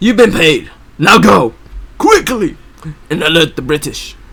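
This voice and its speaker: A man's put-on character voice, gruff and growling, high-pitched, at a moderate pace. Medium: read story. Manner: low, gruff, curt.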